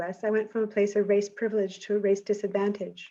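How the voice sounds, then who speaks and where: Speaking with an American accent, a woman talks at a very fast pace. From United States (Jamaica until age ten). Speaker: sociology professor. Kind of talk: prepared academic presentation. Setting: webinar.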